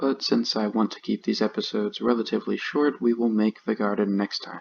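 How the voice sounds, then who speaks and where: A man is soft-spoken. He talks at a moderate pace. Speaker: gaming YouTuber. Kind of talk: gameplay commentary. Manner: calm, laid back.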